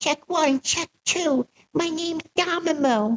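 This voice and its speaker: Squeaky and high-pitched, a put-on character voice moves at a fairly slow pace. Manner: silly, playful.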